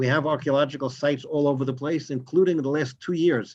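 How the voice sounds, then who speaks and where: A man with a New York accent, fairly high pitch, fairly even intonation and a very fast pace. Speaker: rabbi and tour guide. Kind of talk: lecture. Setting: video call.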